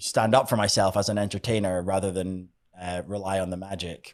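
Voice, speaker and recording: At a fairly quick pace, a man speaks in a fairly low pitch. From Scotland, Edinburgh. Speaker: magician. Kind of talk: podcast interview. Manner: halting, many fillers and repeats.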